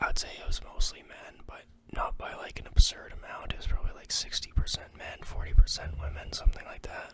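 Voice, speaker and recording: Over noticeable background noise, a whispering voice moves at a fairly quick pace. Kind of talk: casual ASMR ramble to camera. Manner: whispered.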